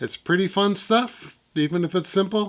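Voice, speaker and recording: Here is a man speaking. His pace is fairly slow. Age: 60s. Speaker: guitarist. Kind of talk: casual vlog talk. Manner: casual, hesitant with fillers.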